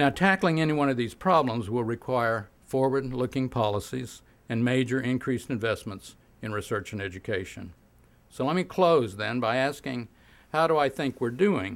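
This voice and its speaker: A man with an unremarkable speaking voice and medium pitch uses lively intonation at a moderate pace. The recording is very clean, with a silent background. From Oklahoma. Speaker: physicist and science policy professor. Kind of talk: keynote speech.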